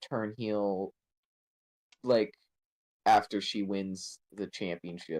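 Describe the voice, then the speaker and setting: The pace here is very slow. A man speaks with a dry, close sound and no echo. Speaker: wrestling podcast co-host. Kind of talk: casual chat. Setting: live stream. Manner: halting, stuttering.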